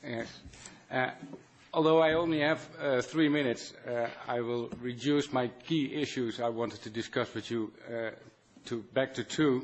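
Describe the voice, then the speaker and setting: Man with a Dutch accent and fairly even intonation. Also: medium pitch for a man, moderate pace. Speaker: physician and industry association chairman. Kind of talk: formal statement at a meeting. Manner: hesitant, many fillers.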